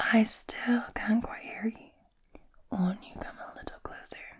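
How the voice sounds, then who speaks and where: A woman's raspy put-on character voice, fairly high in pitch, at a fairly slow pace. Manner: feigning weakness, coaxing.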